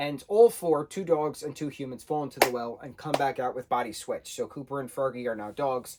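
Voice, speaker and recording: Here a man with a Long Island accent talks at a moderate pace. His voice is fairly high, with lively intonation. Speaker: book reviewer. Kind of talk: casual review monologue.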